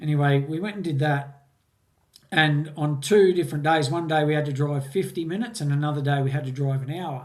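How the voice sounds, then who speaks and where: Audible room echo surrounds a man with an Australian accent. He talks at a fairly quick pace with a fairly high pitch and ordinary pitch variation. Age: 60s. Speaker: mountain bike course designer. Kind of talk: interview. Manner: halting, repeats words.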